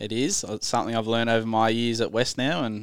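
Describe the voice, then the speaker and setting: In an Australian accent, the speaker moves at a fairly quick pace. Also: man. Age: 30s. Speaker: amateur rugby league player. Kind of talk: casual sports chat.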